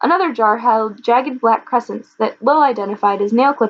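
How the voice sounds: The voice is a natural reading voice. Its pitch variation is ordinary.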